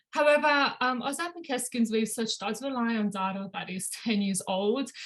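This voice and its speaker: A woman speaks with a fairly high pitch and ordinary pitch variation. Her voice is somewhat breathy. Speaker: doctoral researcher. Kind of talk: academic presentation. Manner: fast.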